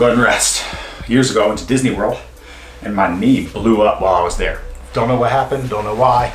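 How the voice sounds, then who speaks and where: Amid noticeable background noise and audible room echo, a man speaks at a very fast pace, broken by long, frequent pauses. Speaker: mobility and fitness instructor. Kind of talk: follow-along exercise tutorial. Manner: casual, chatty; speaking louder than usual. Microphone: room echo, poor acoustics.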